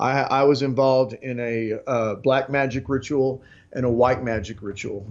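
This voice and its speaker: Medium in pitch, a man talks with a West Texas accent. His intonation is monotone and flat. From West Texas, Lubbock. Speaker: interview guest, self-described occult insider. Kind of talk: interview. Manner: halting, many fillers and restarts.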